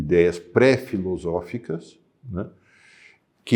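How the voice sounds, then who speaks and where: A man with a dark, mellow tone speaks very slowly, with ordinary pitch variation. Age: 60s. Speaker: philosophy teacher. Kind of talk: lecture. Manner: hesitant fillers.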